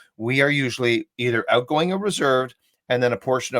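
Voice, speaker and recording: A man talks at a fairly quick pace with medium pitch and ordinary pitch variation, in an unremarkable speaking voice. The sound is dry and close, with no echo. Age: 60s. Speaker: human behavior coach and trainer. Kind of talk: interview on live video chat.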